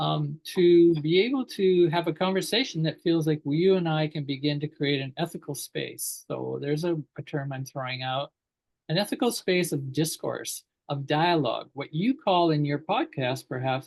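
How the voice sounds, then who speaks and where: Against a quiet background, a man with an ordinary speaking voice talks at a moderate pace, his fairly high pitch showing ordinary variation. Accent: Canadian. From Canada. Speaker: educator and talk show host. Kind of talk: interview dialogue.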